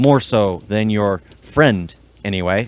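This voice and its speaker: A man puts on a raspy character voice with a fairly low pitch. He speaks at a fairly slow pace. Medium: read story. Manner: toying, analytical.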